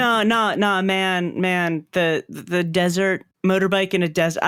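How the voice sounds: A natural reading voice with fairly even intonation. The background is quiet.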